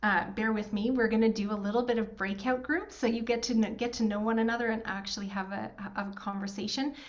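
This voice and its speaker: In a Canadian accent, a woman with a fairly high pitch and ordinary pitch variation talks at a fairly quick pace amid audible room echo. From rural Alberta, Canada. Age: 40s. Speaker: workshop host, financial firm co-founder. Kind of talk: online workshop facilitation.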